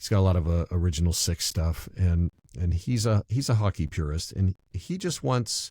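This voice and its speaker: A man's very deep, low voice with a dark, mellow tone and some breathiness, at a moderate pace, on a very clean recording with a silent background and a dry, close sound with no echo. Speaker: public address announcer. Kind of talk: interview answer.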